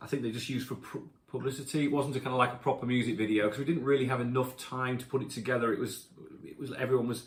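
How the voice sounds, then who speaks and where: A somewhat breathy voice at a very fast pace, monotone and flat, with audible room echo. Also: man, medium pitch for a man. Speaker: rock singer. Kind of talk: casual chat. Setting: home. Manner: halting.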